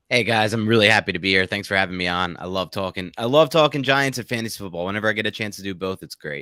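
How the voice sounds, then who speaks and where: In a New York accent, the speaker goes at a very fast pace with hardly any pauses, ordinary pitch variation and a bright, sharp tone. The sound is dry and close with no echo, on a very clean recording with a silent background. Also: man, fairly low pitch for a man. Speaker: sports podcast host and fantasy editor. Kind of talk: podcast interview.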